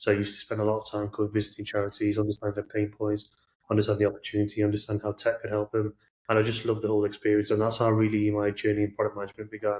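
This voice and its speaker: In a Manchester accent, a man talks at a very fast pace with a fairly low, somewhat breathy voice and flat, monotone intonation. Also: very clean recording, silent background. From northern England, Manchester. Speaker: product manager. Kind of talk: podcast interview.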